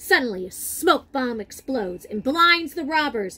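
High-pitched and bright, sharp in tone, a woman speaks at a fairly slow pace with lively intonation and a slightly husky edge.

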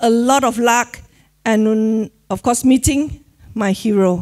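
A woman talks at a very slow pace, and the background is quiet. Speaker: presenter. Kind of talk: motivational talk. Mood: warm, emotional, some laughter. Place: hall. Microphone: handheld.

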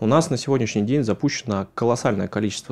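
The voice has a dark, mellow tone and moves at a fairly quick pace. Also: man. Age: 30s. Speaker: politician. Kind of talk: interview. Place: studio. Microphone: studio mic.

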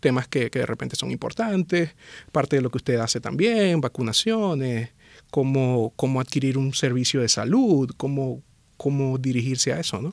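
Lively intonation carries the speech at a moderate pace, with a quiet background and a dry sound with no echo. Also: man. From Venezuela, Maracaibo; Venezuela. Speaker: anesthesiologist; guest. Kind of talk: interview conversation. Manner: hesitant, with fillers and repetitions. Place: studio. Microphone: studio mic.

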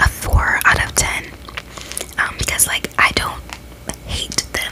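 A soft-spoken woman talks. Loud background noise runs behind her. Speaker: ASMR creator. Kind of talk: casual vlog chat. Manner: soft, close-mic ASMR murmur. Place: home room. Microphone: studio mic.

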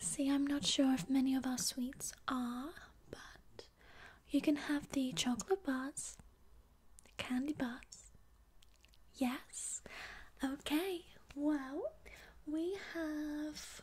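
Soft-spoken and gentle in tone, a woman talks at a very slow pace with a high pitch, ordinary pitch variation, and long, frequent pauses. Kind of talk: ASMR-style role-play talk to viewer. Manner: soft-spoken, gentle ASMR voice.

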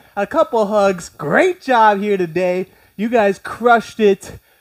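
Over a quiet background, a man talks at a very slow pace with lively intonation. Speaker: fitness instructor. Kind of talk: workout instruction. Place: home room.

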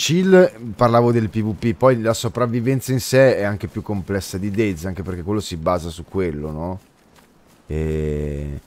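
This is an ordinary speaking voice, a man's at a fairly low pitch. He talks at a fairly slow pace with lively intonation, and the sound is dry with no echo. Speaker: game streamer. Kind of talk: casual stream commentary and chat replies. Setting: live stream, gaming. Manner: chatty, informal, swears often. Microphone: studio mic.

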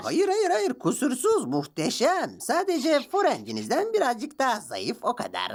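The voice is a cartoonish character voice pitched high. It runs on with hardly any pauses. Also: moderate pace. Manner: servile, overly polite, anxious.

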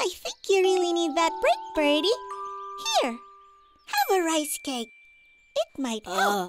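In a cartoonish character voice, the speaker uses an extremely high pitch with very wide pitch swings at a fairly slow pace, leaving long, frequent pauses while faint music plays in the background. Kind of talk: children's cartoon voice acting. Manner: polite, gentle.

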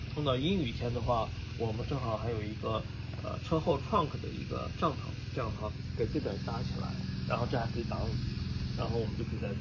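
A man talks fairly quickly against loud background noise. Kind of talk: casual tutorial walkthrough. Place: garage. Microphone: phone near.

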